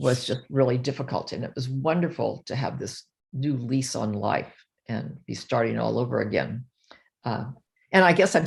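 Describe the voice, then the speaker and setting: A woman speaks at a very deep, low pitch with ordinary pitch variation. Vocal fry runs through her voice. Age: 80s+. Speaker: retired behavioral psychologist, diet success story. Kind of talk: interview testimony. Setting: video call. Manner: halting.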